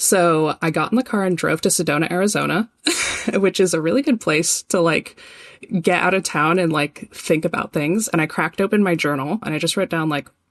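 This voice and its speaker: Someone speaks at a fairly quick pace in a plain, everyday voice with ordinary pitch variation, the sound dry and close with no echo. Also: woman, fairly low pitch for a woman. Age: 20s. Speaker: arts administrator. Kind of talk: casual chat.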